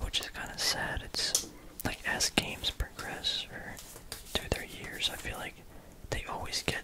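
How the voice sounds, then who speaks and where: Someone whispers at a fairly slow pace with long, frequent pauses. Noticeable background noise runs behind it. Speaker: ASMR content creator. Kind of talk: ASMR whispered ramble about a card game; casual talk to camera. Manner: whispered.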